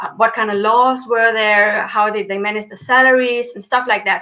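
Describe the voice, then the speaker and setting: A woman with a non-native accent speaks at a moderate pace in a bright, sharp tone, her fairly high pitch held to a fairly even intonation. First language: not English. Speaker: PhD student in Egyptology. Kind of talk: interview. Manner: halting, many fillers.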